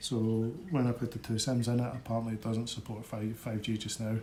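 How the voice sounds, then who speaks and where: Over noticeable background noise, a man with a Scottish accent talks at a fairly quick pace in a monotone, flat intonation at medium pitch. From Scotland. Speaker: tech unboxing presenter. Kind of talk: product unboxing review. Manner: casual, hesitant with fillers.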